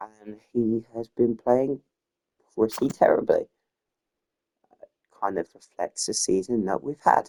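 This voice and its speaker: The speaker is soft-spoken and very slow, with long, frequent pauses and big swings in loudness in a dry, close sound with no echo. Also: man. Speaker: gaming youtuber. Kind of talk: gameplay commentary. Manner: halting.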